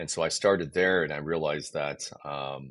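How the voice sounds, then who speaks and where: This man talks at a moderate pace with fairly even intonation. His voice has vocal fry. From South Korea. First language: Korean. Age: 50s. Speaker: game studio CEO. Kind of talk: podcast interview. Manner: hesitant with fillers.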